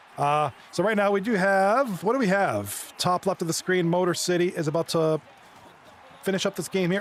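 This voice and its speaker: A man's high-pitched voice over music in the background. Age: 40s. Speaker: esports hockey league commentator. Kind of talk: live commentary. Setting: livestream.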